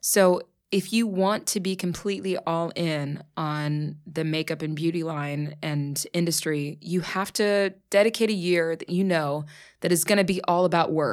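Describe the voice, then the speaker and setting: On a very clean recording with a silent background, a woman with an American accent and a normal speaking voice talks fairly slowly, her pitch fairly low and her intonation fairly even. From US, Pittsburgh. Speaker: actress. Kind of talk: casual chat. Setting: studio.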